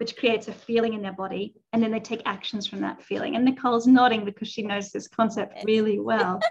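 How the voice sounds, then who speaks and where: A woman's fairly high, somewhat breathy voice at a fairly quick pace. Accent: Australian. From Australia. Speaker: life coach. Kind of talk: casual chat.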